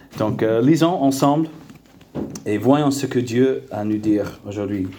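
With an English accent and lively intonation, a man of medium pitch speaks amid audible room echo and noticeable background noise. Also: long, frequent pauses. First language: English (speaking French). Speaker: preacher. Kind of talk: sermon. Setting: church. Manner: halting, many fillers and repeated words.

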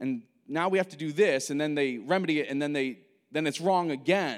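On a very clean recording with a silent background, an animated voice with an American accent moves at a fairly quick pace with ordinary pitch variation. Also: man. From United States. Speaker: pastor. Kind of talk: sermon. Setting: church.

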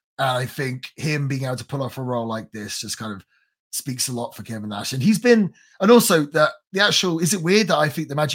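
Talking at a very fast pace, a man with a fairly high pitch uses lively intonation and big swings in loudness. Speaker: podcast host. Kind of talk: casual podcast chat and interview. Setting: podcast recording.

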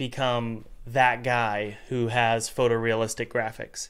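A man with a medium-pitched voice talks at a very slow pace on a very clean recording with a silent background. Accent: American. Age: 30s. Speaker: podcast host and game developer. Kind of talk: casual chat.

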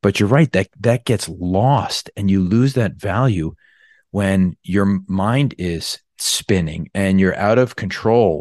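A man with an American accent and an ordinary speaking voice talks at a fairly slow pace with a fairly low pitch and ordinary pitch variation, in a dry, close sound with no echo and a quiet background. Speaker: podcast host and surgeon. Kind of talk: podcast interview. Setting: remote call.

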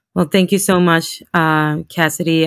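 In a Spanish accent, a woman speaks at a very deep, low pitch with fairly even intonation, in a dry, close sound with no echo. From Honduras. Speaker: law school program director and lawyer. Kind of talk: interview.

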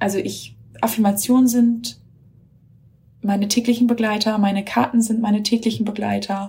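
A woman with a fairly high pitch speaks in monotone, flat intonation. She leaves long, frequent pauses. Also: moderate pace. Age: 30s. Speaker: mother of three, course graduate. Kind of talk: recorded voice memo testimony. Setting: self-recorded voice message.

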